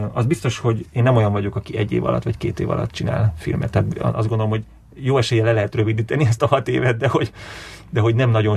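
Talking very fast with lively intonation, a man with a fairly low pitch is heard over noticeable background noise. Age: 40s. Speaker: film director. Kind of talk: interview.

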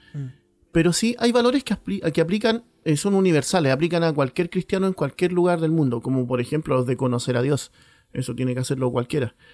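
A man talks very fast in a fairly high voice, his pitch swinging very widely. The sound is dry and close, with no echo. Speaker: mission base director, podcast co-host. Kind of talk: casual chat. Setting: recorded at home on mission base.

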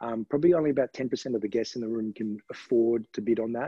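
Talking at a very fast pace, a man of medium pitch speaks with an Australian accent and ordinary pitch variation. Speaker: charity auctioneer. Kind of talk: podcast interview. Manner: hesitant, many fillers.

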